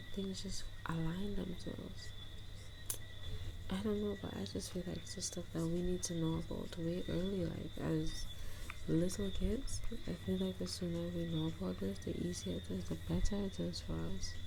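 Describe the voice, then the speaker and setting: Soft-spoken, a woman talks at a moderate pace in a gentle, relaxed tone. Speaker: manifestation coach and content creator. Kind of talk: ASMR chit chat, casual talk to camera. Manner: soft-spoken, gentle, relaxed.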